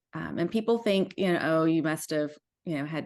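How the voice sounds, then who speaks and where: In a quiet background, a woman talks at a fairly quick pace. She has an American accent. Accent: Southern US (Alabama), noticeable to some. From US South, South Alabama. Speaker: pediatrician and founder of a physicians' organization. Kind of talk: podcast interview.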